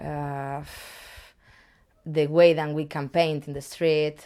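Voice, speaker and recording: In a Spanish accent, the voice has a dark, mellow tone and monotone, flat intonation on a very clean recording with a silent background. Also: woman. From Spain. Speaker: street artist. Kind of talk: interview. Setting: artist's studio. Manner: halting.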